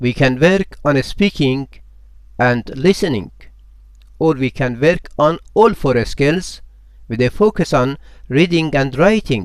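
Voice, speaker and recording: A man with a Persian accent and fairly high pitch, lively intonation, a very slow pace, and long, frequent pauses. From Iran. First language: Farsi. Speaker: language teacher. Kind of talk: promotional self-introduction.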